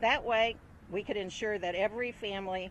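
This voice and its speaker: A woman with an American accent speaks at a fairly quick pace in a medium pitch. It is a plain, everyday voice with ordinary pitch variation. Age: 60s. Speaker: retiree. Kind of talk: prepared statement. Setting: outdoors.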